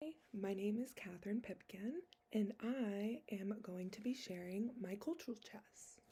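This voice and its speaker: Somewhat breathy and dark, mellow in tone, a woman with an American accent speaks at medium pitch and a fairly slow pace with ordinary pitch variation. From United States. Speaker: social work student. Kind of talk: class presentation.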